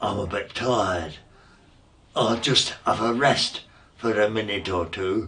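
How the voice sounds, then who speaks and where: Putting on a character voice, a man with a fairly low pitch speaks at a fairly slow pace, leaving long, frequent pauses. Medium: read story.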